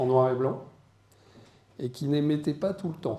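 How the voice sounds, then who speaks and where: The voice carries a dark, mellow tone at a moderate pace with ordinary pitch variation and audible room echo. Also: man. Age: 60s. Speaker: deacon and media business owner. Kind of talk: conference talk. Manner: hesitant, many fillers.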